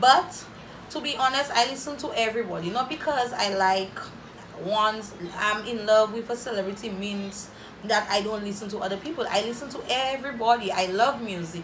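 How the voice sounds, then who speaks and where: Over noticeable background noise, the speaker talks at a fairly quick pace in an animated tone, with ordinary pitch variation and big swings in loudness. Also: woman, fairly high pitch for a woman. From St Lucia. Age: 20s. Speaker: YouTuber. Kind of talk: casual Q&A vlog. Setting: home video recording. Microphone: phone near.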